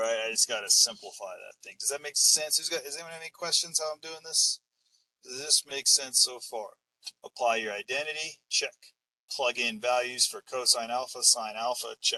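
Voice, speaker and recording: A man speaks at a moderate pace, his loudness swinging widely. The sound is dry and close, with no echo. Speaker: math teacher. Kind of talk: lecture. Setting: online class from a van.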